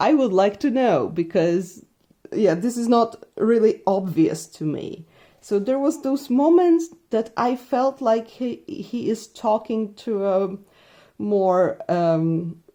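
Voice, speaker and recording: A woman with a Polish accent speaks very slowly at a fairly high pitch, with a dark, mellow tone. Her pitch swings very widely. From Poland. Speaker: book reviewer, witchcraft content creator. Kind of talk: casual book review. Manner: hesitant, with many fillers.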